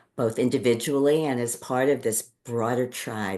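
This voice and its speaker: Speaking with a New York accent, a woman has a very deep, low pitch and a dark, mellow tone. Her pace is fairly slow, her intonation fairly even, and the background quiet. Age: 60s. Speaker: podcast co-host and Ayurvedic practitioner. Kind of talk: casual chat.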